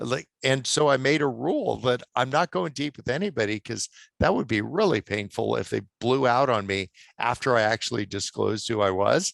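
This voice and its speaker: Over a quiet background, a man of medium pitch with vocal fry speaks with lively intonation in a dry, close sound with no echo. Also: moderate pace. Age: 60s. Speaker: author and attorney. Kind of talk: podcast interview.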